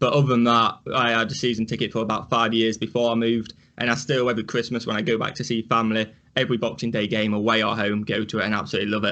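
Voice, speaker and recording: A man talks at a very fast pace in a medium pitch with a bright, sharp tone. His intonation is monotone and flat. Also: quiet background. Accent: Yorkshire. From northern England, Rotherham, Yorkshire. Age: 20s. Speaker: sports reaction youtuber. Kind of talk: casual chat.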